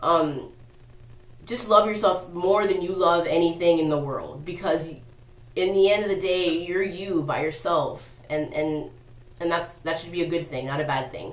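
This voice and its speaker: Against audible room echo, a woman with a fairly low pitch talks at a moderate pace with ordinary pitch variation. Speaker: vlogger. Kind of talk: casual advice vlog. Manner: rambling, halting; animated.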